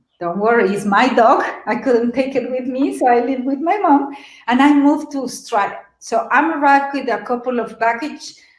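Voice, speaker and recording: A woman with a slight Mexican accent speaks in a high voice at a moderate pace. Audible room echo is present. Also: ordinary pitch variation. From Mexico City. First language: Spanish. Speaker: webinar presenter. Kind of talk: webinar presentation. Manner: animated.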